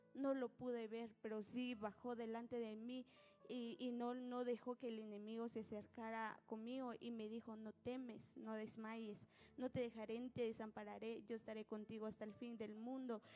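Music plays in the background as a woman speaks at a moderate pace. Her fairly high voice stays monotone and flat. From Guatemala, Nahualá (Sololá). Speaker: church minister and singer. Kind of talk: testimony. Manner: hesitant.

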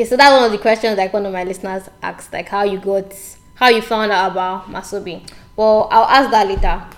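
Through noticeable background noise, a woman speaks with a fairly high pitch. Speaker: podcast host, writer and blogger. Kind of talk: interview. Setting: sat down together for interview.

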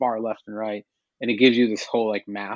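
The voice races along at a very fast pace with monotone, flat intonation. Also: man. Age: 40s. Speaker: tech company CEO. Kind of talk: interview.

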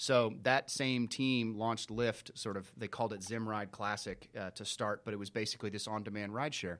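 In a plain, everyday voice, a man speaks with fairly even intonation and hardly any pauses. The recording is very clean, with a silent background. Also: fairly low pitch for a man, fairly quick pace. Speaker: business manager. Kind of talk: interview. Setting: studio.

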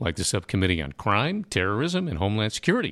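A man with a fairly low pitch and vocal fry talks at a fairly quick pace, his voice making very wide pitch swings. The sound is dry and close with no echo. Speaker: radio host. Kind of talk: interview. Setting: congressional office.

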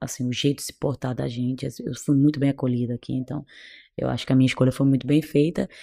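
A woman talks at a very fast pace in a very deep, low pitch. Her tone is dark and mellow, her intonation monotone and flat. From Cape Verde. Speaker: doctor. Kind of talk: interview.

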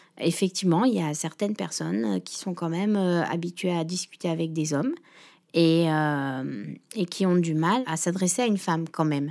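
On a very clean recording with a silent background, a woman with a fairly low pitch speaks at a moderate pace with lively intonation. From Réunion. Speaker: shop owner. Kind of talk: interview. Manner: halting.

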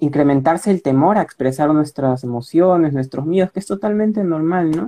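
The voice has a dark, mellow tone and ordinary pitch variation, moving at a moderate pace in a dry, close sound with no echo. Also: man. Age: 20s. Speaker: university student. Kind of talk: casual interview.

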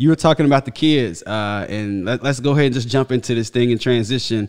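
Against a quiet background, a man with a plain, everyday voice talks at medium pitch and a fairly quick pace. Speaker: football podcast host. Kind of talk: casual chat. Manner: casual, slangy.

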